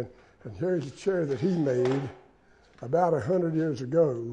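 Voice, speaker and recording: A man with an Appalachian accent speaks in a somewhat breathy voice with a dark, mellow tone. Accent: Appalachian Southern US. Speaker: chair maker. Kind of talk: interview. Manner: halting.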